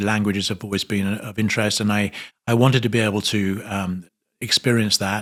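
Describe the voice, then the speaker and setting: With a British accent, a man talks at a fairly low pitch and fairly even intonation. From England, North London. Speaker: hospitality executive. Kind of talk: interview. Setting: trade conference. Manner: hesitant, many fillers.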